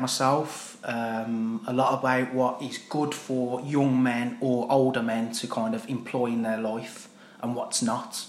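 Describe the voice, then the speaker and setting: With a Brummie accent, a man of medium pitch talks at a fairly slow pace amid audible room echo. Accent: Brummie (Birmingham). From Birmingham, England. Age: 30s. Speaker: army veteran. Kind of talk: casual chat. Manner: animated.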